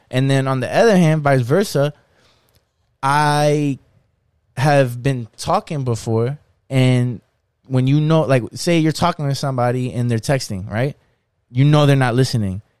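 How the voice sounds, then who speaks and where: Fairly slow pace, long and frequent pauses, and ordinary pitch variation from a man of medium pitch, in a dry, close sound with no echo on a very clean recording with a silent background. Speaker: podcast co-host. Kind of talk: casual chat.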